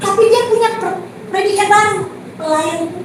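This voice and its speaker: A woman's extremely high-pitched, raised and projected voice comes through audible room echo and noticeable background noise. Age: 60s. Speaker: preacher. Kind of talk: sermon. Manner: conversational, addresses congregation directly.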